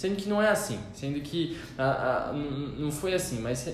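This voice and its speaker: Noticeable background noise surrounds the speaker. He is a man with a fairly high pitch and ordinary pitch variation. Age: 20s. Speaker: church volunteer leader and accounting student. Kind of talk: casual chat.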